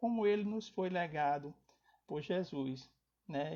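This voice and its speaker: Pitched high, a man talks fairly slowly with ordinary pitch variation. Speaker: spiritist lecturer. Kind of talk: lecture. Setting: online live stream. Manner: soft-spoken.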